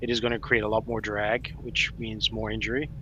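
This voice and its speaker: The man keeps a moderate pace while noticeable noise hums in the background. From South Africa. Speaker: police sergeant. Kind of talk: live Q&A stream.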